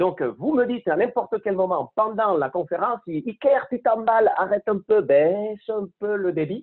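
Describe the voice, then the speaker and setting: A man speaks with a Spanish accent. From Spain. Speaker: conference speaker, consultant. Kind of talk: online lecture. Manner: fast.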